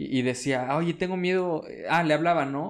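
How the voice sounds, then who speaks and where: A man with a Mexican accent. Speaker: podcast co-host. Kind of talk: casual chat.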